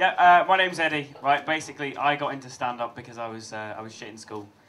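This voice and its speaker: A man talks at a very fast pace with a fairly high pitch and ordinary pitch variation. Noticeable background noise runs underneath. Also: big swings in loudness. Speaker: comedian. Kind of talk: stand-up.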